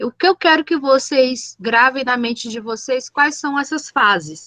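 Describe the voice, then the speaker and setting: At a fairly slow pace, a woman with a high pitch uses lively intonation in a dry, close sound with no echo. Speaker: teacher. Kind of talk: lecture.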